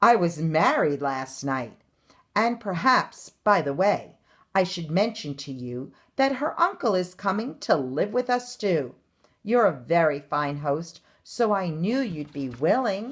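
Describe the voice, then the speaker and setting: On a very clean recording with a silent background, a woman uses a put-on character voice, fairly low in pitch and fairly slow. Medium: read story.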